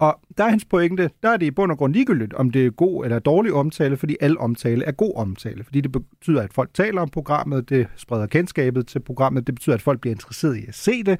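In a dry, close sound with no echo, a man speaks at a fairly quick pace, his fairly high voice making very wide pitch swings. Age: 30s. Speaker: radio host. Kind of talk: radio magazine show, interviews.

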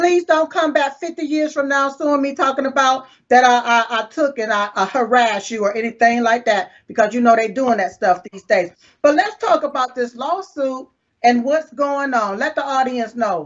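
A woman speaks with an American accent and a high pitch. Her intonation is lively. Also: moderate pace. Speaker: online show host. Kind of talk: casual interview.

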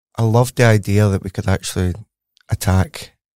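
The voice has a Glasgow accent and a dark, mellow tone at a fairly quick pace. The sound is dry and close, with no echo. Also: man. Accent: Scottish (Glaswegian). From Glasgow, Scotland. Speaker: cancer researcher, professor. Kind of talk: interview, explanatory conversation.

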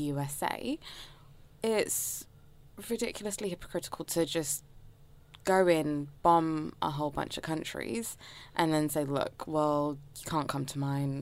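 With a London accent, a woman speaks in a very deep, low pitch at a fairly slow pace, with ordinary pitch variation. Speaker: education worker. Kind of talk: casual chat.

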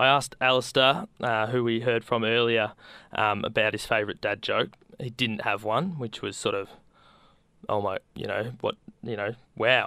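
On a very clean recording with a silent background, a man with an Australian accent speaks in a bright, sharp tone. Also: medium pitch for a man, fairly even intonation, moderate pace. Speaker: community radio host. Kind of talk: radio show hosting.

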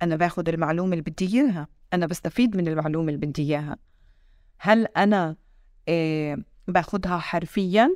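A woman with a Palestinian accent speaks at a moderate pace and a fairly low pitch with ordinary pitch variation, in a very clean recording with a silent background. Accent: Palestinian Levantine Arabic. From Palestinian citizen of Israel (1948 territories). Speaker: TV news correspondent. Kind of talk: interview conversation.

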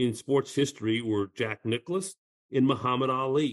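A man's ordinary speaking voice with an American accent, medium pitch, fairly even intonation and moderate pace, in a dry, close sound with no echo. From Southern California. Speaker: golf TV host. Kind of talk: interview conversation.

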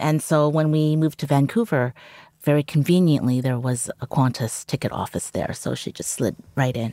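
A woman with a Canadian accent speaks at a moderate pace in a very deep, low voice with a dark, mellow tone and ordinary pitch variation, on a very clean, dry, close recording with no echo and a silent background. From Canada. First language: Cantonese. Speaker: journalist. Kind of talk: interview.

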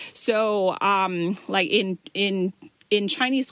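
A woman with a medium pitch is heard in a dry, close sound with no echo. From Thailand. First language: Thai. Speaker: podcast host. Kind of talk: informational talk. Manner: casual, many fillers.

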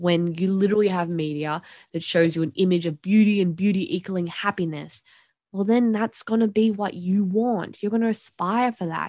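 Over a quiet background, a woman with an Australian accent speaks at medium pitch and a moderate pace with ordinary pitch variation, in a dry, close sound with no echo. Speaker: podcast co-host. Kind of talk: casual discussion.

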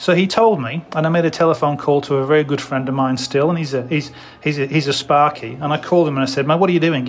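Over noticeable background noise, a man with a fairly high voice and ordinary pitch variation talks at a very fast pace with hardly any pauses. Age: 50s. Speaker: hotel manager and mentor. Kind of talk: interview. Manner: halting.

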